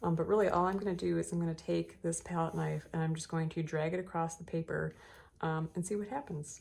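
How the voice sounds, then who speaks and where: On a very clean recording with a silent background, a woman talks at a fairly quick pace. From US Midwest. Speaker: artist. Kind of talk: art tutorial talk to camera. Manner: casual, hesitant with many fillers.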